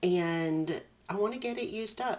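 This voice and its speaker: Delivered very slowly, the speech shows ordinary pitch variation. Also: woman. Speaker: scrapbooking youtuber. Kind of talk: tutorial. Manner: casual.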